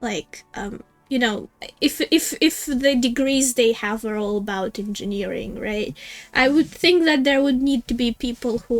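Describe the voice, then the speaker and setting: Spoken in a Russian accent with ordinary pitch variation, the voice sits over music playing in the background. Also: woman. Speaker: gaming streamer. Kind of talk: live game stream commentary. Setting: live stream. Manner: halting, many fillers and restarts.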